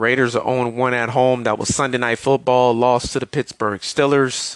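Speaking at a moderate pace, a man uses a medium pitch and monotone, flat intonation, recorded with a dry, close sound and no echo. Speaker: football podcast host. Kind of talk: solo podcast sports recap.

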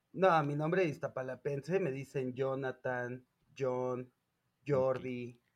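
A man with a Mexico City accent speaks at a very slow pace. His pitch is medium and his intonation fairly even. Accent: Mexico City Spanish (chilango). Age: 30s. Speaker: podcast co-host. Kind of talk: casual chat.

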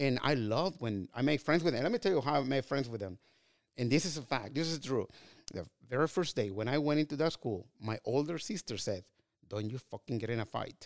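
Recorded dry and close with no echo, a man talks fairly quickly at medium pitch with lively intonation. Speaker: real estate agent. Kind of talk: casual chat. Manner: animated.

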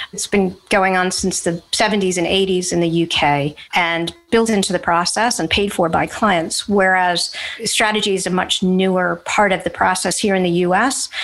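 With an American accent, a woman of medium pitch speaks with fairly even intonation and hardly any pauses. She has an ordinary speaking voice. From United States. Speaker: advertising strategist. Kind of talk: interview.

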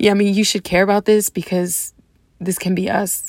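A woman with an American accent speaks at a medium pitch and a moderate pace, her intonation monotone and flat. The sound is dry and close, with no echo. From Deep South Texas, US. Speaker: Army veteran vlogger. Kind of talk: personal video monologue.

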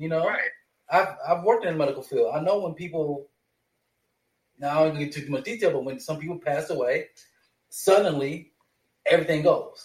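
A man with an American accent and a high pitch speaks at a moderate pace, with ordinary pitch variation and long, frequent pauses. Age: 40s. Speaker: host's fiance, film discussion guest. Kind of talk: casual chat.

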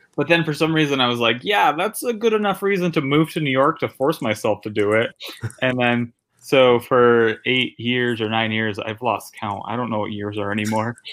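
Lively intonation runs through an ordinary speaking voice at a moderate pace. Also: man, medium pitch for a man. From Connecticut, New Haven. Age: 30s. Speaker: stand-up comedian. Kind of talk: casual interview chat. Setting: guest bedroom at a friend's house.

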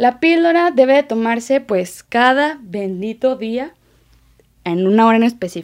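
A woman in a Mexican accent, her pitch swinging very widely, against a quiet background. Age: 20s. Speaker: paramedic and communication student podcaster. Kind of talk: casual informative monologue. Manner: relaxed, conversational.

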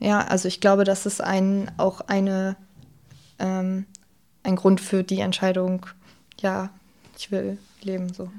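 Very slowly and with long, frequent pauses, a woman speaks at medium pitch in a monotone, flat intonation. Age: 20s. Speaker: former peer counselor sharing suicide loss. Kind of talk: personal testimony in interview. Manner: halting, many fillers.

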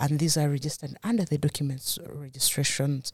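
A woman with a very deep, low pitch talks at a fairly quick pace, somewhat breathy, with ordinary pitch variation in a dry, close sound with no echo. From Uganda. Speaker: government agency head and lawyer. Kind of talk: interview.

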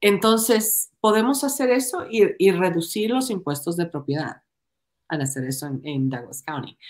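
Her pitch sits in the medium range and swings very widely as the woman talks at a fairly slow pace. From Ecuador. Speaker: political candidate. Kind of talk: podcast interview.

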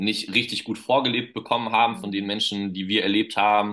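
The man's voice sits at a fairly low pitch. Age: 20s. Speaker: children's pastor. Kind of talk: casual interview.

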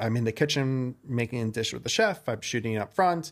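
In an American accent, a man talks at a very fast pace and medium pitch on a very clean recording with a silent background. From New York, Westchester suburbs. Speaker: food content creator, former TV producer. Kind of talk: casual interview chat.

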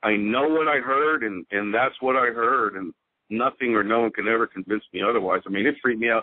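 A plain, everyday voice with an American accent, speaking at a moderate pace with ordinary pitch variation. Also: man. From Houston, Texas. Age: 40s. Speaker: witness sharing an encounter. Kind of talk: casual interview storytelling.

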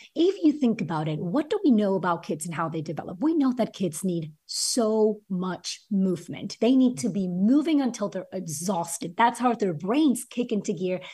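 A woman speaks at medium pitch and a moderate pace with lively intonation, her voice somewhat breathy. The recording is very clean, with a silent background. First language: not English (English is third language). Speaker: former teacher, author and education entrepreneur. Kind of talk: interview conversation.

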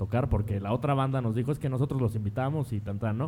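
Somewhat breathy and dark, mellow in tone, a man talks at a very fast pace with fairly even intonation. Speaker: drummer. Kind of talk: casual chat.

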